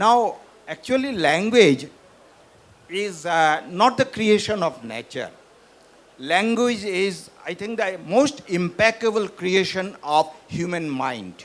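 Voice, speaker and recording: Speaking at a very slow pace, this voice carries a Northeast Indian accent and lively intonation. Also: man, high pitch for a man. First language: Bishnupriya Manipuri. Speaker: professor and author. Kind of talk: literary festival panel conversation.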